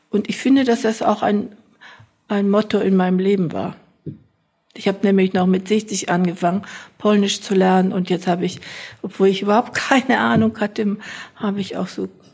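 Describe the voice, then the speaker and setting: A woman's somewhat breathy voice at a medium pitch, moderately paced with fairly even intonation and long, frequent pauses. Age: 80s+. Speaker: retired sociology professor. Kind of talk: interview.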